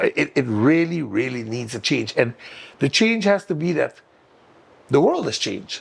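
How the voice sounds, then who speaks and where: With a Sint Maarten accent, a man talks in a fairly high pitch that swings very widely. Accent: Caribbean (Sint Maarten) English. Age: 60s. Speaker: political candidate. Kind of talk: talk show interview.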